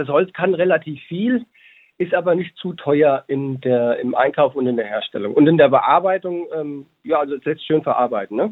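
A man with an unremarkable speaking voice talks at a moderate pace, his fairly high pitch carrying lively intonation. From Hesse, Germany (Babenhausen). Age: 30s. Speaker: educator and business co-founder. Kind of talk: interview.

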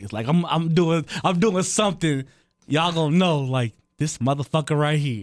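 In a very clean recording with a silent background, a man with a normal speaking voice talks at a moderate pace with lively intonation. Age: 30s. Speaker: podcast co-host, DJ. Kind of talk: casual chat.

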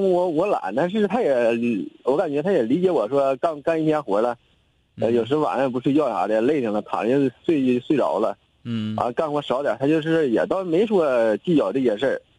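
This man's voice is fairly high, with a dark, mellow tone. His intonation is lively and his loudness very even. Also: moderate pace. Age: 20s. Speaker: caller seeking relationship advice. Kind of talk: call-in conversation.

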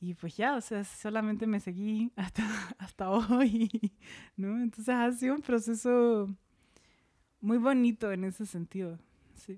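A woman speaks at a fairly slow pace with long, frequent pauses, using a fairly high pitch, a dark, mellow tone, and fairly even intonation. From Chile, Santiago. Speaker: textile artist. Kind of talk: casual interview.

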